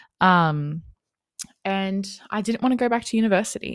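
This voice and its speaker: Moderate-paced speech from a woman with an Australian accent. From Australia, Wollongong NSW. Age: 20s. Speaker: podcast host and mindset coach. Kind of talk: casual monologue. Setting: home, on lounge room floor.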